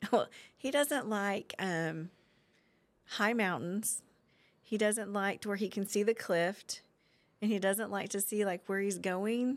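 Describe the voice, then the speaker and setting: A woman with an American accent and a medium pitch speaks with long, frequent pauses on a very clean recording with a silent background. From Oklahoma, Guthrie. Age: 40s. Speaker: community member. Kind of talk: casual interview.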